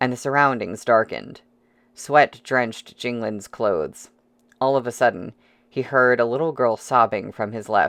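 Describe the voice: Reading aloud, plain.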